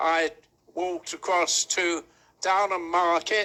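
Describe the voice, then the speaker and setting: Pitched high, a man talks at a very slow pace. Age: 80s+. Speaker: war veteran. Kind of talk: interview answer.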